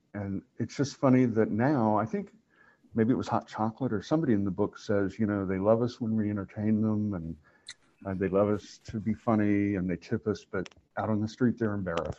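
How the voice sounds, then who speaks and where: Here is an unremarkable speaking voice from a man with an American accent. His pitch sits fairly low, his intonation is fairly even and his pace is fairly quick. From Oklahoma. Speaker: library staff interviewer. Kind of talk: interview.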